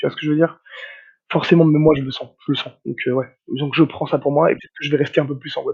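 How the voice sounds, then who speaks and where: Loudness shifts greatly in this man's speech. He talks very fast. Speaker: nutritionist. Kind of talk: podcast interview, casual chat. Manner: hesitant, many repeated words; energetic, hyperactive.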